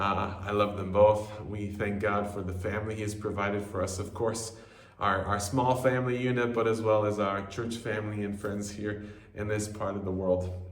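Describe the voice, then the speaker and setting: With a slight non-native accent, the speaker talks at a moderate pace in a monotone, flat intonation, with noticeable background noise and audible room echo. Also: man, fairly low pitch for a man. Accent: slight non-native tinge to American English. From US Southwest, Albuquerque, New Mexico. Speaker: missionary. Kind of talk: personal video greeting.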